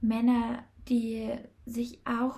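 A woman with a fairly high pitch speaks in a dark, mellow tone that is somewhat breathy. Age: 20s. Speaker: podcast host and feminine-energy coach. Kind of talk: solo podcast monologue.

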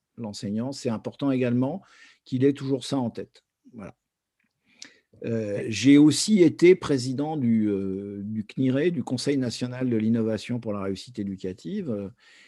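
A man with a medium pitch and a dark, mellow tone speaks with ordinary pitch variation in a dry, close sound with no echo. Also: fairly slow pace, very clean recording, silent background. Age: 60s. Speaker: education activist and former association president. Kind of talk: testimony interview. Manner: halting, many hesitations.

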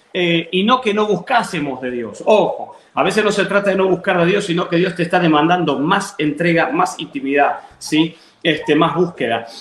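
Over noticeable background noise, a man with an Argentine accent speaks at a moderate pace and a high pitch, with ordinary pitch variation. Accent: Rioplatense Argentine Spanish. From Buenos Aires, Argentina (southern suburbs). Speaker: pastor. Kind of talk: interview testimony and preaching. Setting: video call.

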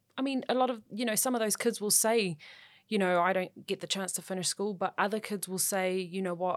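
Spoken at a moderate pace with a New Zealand accent, this voice has ordinary pitch variation on a very clean recording with a silent background. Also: woman. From New Zealand, South Auckland. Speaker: sports journalist. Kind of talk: casual chat.

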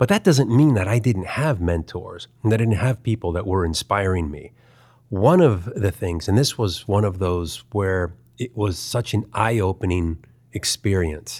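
An unremarkable speaking voice from a man with a fairly low pitch, on a very clean recording with a silent background. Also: ordinary pitch variation, moderate pace. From US, Baltimore, Maryland. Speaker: animation artist. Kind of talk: interview, casual chat.

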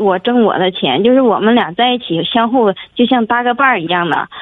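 A woman's fairly high pitch moves with ordinary pitch variation as she speaks. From Jilin, northeast China. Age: 30s. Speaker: caller. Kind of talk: phone call-in. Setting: phone call. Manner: halting.

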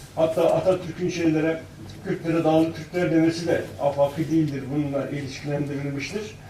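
In a room with audible echo and noticeable background noise, a man with a fairly high pitch speaks at a moderate pace with fairly even intonation. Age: 70s. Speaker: author and researcher. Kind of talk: panel talk.

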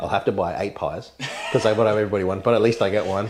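In an Australian accent, a man talks at a very fast pace with a fairly low pitch and fairly even intonation. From Mid North Coast, New South Wales, Australia. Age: 30s. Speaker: insurance broker and rally driver. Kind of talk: casual interview chat.

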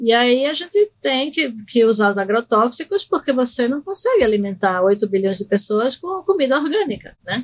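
A woman's high voice swings very widely in pitch as she talks at a moderate pace with hardly any pauses, the sound dry and close with no echo. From Recife, Brazil (born in Argentina). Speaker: psychiatrist. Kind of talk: interview on medical topic.

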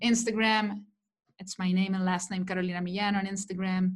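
With a Spanish accent, a woman speaks at a medium pitch in a somewhat breathy voice, and the recording is very clean with a silent background. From Chile. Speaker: digital marketing coach. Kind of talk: interview.

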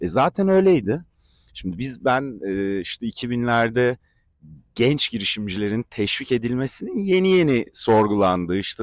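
A man speaks in a normal speaking voice with lively intonation at a moderate pace. The recording is very clean and dry, close-miked with no echo against a silent background. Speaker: audience member asking questions. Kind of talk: audience question. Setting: outdoor terrace with audience.

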